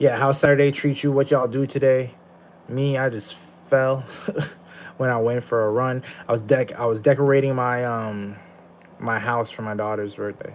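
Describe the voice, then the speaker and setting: Long, frequent pauses break up a man's speech, which has a medium pitch, a moderate pace and fairly even intonation. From Canada (Ottawa). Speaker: streamer. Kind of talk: live stream chat. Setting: live stream. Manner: casual.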